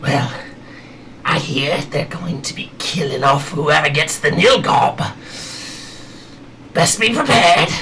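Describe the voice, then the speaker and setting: A man's whispered, put-on character voice at a fairly slow pace, with long, frequent pauses and clear background noise. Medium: actual play.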